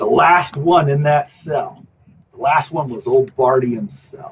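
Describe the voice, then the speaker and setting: A raspy, put-on character voice comes through at a fairly slow pace. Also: man, fairly high pitch for a man. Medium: actual play. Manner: gruff, bossy.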